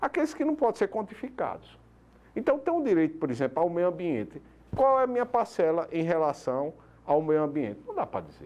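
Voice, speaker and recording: A man with a high pitch talks at a moderate pace, his voice moving in very wide pitch swings. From Paraíba, northeastern Brazil (João Pessoa). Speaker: public prosecutor. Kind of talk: TV interview. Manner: hesitant fillers, explanatory.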